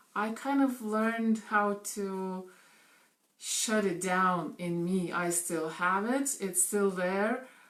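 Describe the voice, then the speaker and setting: Speaking at a very slow pace, a woman of medium pitch uses ordinary pitch variation, with audible room echo around her. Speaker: network marketing coach. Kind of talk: live video talk. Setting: live stream. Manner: animated.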